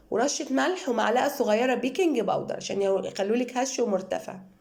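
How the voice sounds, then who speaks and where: In a room with audible echo, a woman talks at a moderate pace, her high voice carrying lively intonation. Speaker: cooking channel host. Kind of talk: cooking tutorial.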